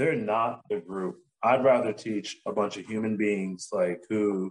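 This is an unremarkable speaking voice with fairly even intonation. It moves at a fairly slow pace. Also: man. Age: 30s. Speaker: massage therapist and business owner. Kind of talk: casual chat.

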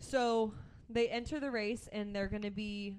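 Fairly slow and with fairly even intonation, a woman talks in a plain, everyday voice at a medium pitch. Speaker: podcast co-host. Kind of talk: casual chat.

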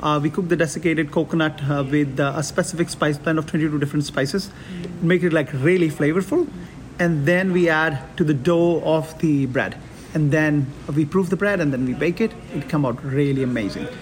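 Noticeable background noise behind a man's fairly high voice, fairly quick pace and fairly even intonation. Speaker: executive chef. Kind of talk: casual interview. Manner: halting, repeats words.

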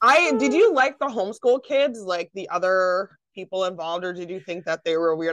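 An unremarkable speaking voice belongs to a woman of medium pitch with lively intonation. She keeps a moderate pace, and the sound is dry and close with no echo. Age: 30s. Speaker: podcast host. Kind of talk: casual interview chat.

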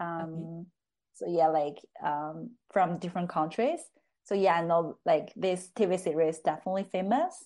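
Against a quiet background, a woman speaks at a moderate pace in a fairly low pitch with a dark, mellow tone. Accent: Chinese. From China, Chengde (Hebei, near Beijing). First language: Mandarin Chinese. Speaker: psychology student and research assistant. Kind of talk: casual interview conversation. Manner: hesitant, many fillers.

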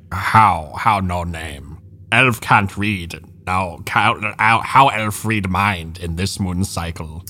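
In a put-on character voice, a man speaks at a very slow pace with very deep, low pitch. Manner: broken speech, third person about self, paranoid.

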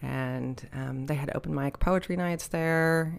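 A woman speaks in an American accent. Her pitch is very deep and low. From Dallas-Fort Worth area, Texas. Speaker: photographer and community association president. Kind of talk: casual interview chat. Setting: community center.

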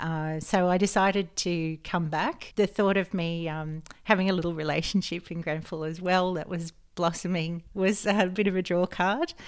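A woman with an Australian accent, fairly low pitch, fairly even intonation and moderate pace, on a very clean recording with a silent background. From rural New South Wales, Australia. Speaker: health coach. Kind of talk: casual interview.

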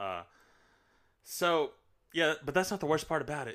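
In a very clean recording with a silent background, a man with an American accent speaks at a moderate pace in an animated, bright, sharp tone. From New York. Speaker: podcast host. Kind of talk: casual chat.

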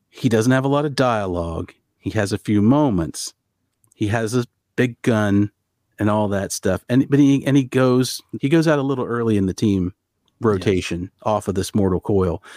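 In a very clean recording with a silent background, a man talks at a moderate pace in a fairly low voice, his tone dark and mellow, the sound dry and close with no echo, and his pitch varying in an ordinary way. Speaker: podcast host. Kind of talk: casual chat. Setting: home office.

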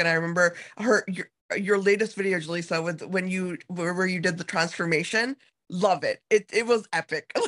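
An animated woman talks at a fairly quick pace in a fairly low voice. Her pitch varies in an ordinary way. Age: 30s. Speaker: podcast host. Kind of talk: casual interview chat. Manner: animated, excitable.

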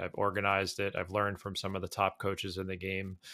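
Recorded very cleanly against a silent background, a man's voice sits at a fairly low pitch with a bright, sharp tone. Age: 30s. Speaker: golf author and writer. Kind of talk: podcast interview.

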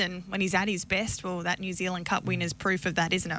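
A woman speaks at a fairly quick pace in a medium pitch. Her tone is bright and sharp, and her intonation is monotone and flat. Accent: Australian. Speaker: harness racing analyst. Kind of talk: radio interview. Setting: radio studio.

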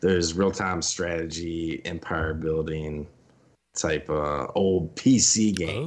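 Ordinary pitch variation marks this speech, delivered at a very slow pace. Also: man, very deep, low pitch for a man. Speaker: gaming content creator. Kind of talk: casual chat.

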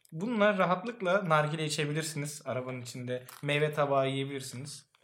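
Delivered at a fairly quick pace, the speech has audible room echo. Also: man. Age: 20s. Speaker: podcast co-host. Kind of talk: casual chat.

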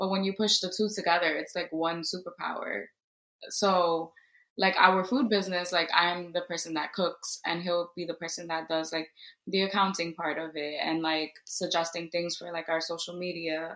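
A woman with an American accent speaks at a moderate pace in a bright, sharp tone, her pitch fairly low and her intonation fairly even. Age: 20s. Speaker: teacher. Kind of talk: casual chat.

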